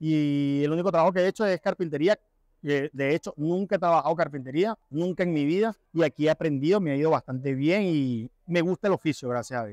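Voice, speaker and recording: A normal speaking voice from a man, fairly high in pitch and at a fairly quick pace, in a dry sound with no echo and a quiet background. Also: ordinary pitch variation. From Venezuela. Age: 30s. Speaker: construction carpenter, immigrant. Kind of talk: interview answers. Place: hall. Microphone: lapel.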